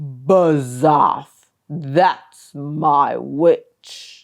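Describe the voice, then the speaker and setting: A put-on character voice, growling and croaky, at a low-to-middle pitch. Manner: blunt, dismissive.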